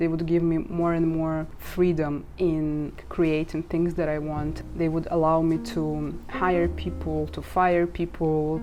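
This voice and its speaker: A woman with a Russian accent at a fairly slow pace, hardly any pauses, and audible room echo. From Ukraine. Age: 20s. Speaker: social media marketer and vlogger. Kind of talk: casual vlog monologue.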